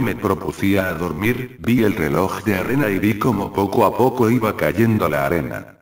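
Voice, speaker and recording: He has an ordinary speaking voice, fairly low in pitch for a man, with lively intonation. This man talks at a moderate pace. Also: hardly any pauses. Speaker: creepypasta narrator. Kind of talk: scripted narration. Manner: first-person spooky storytelling, building suspense.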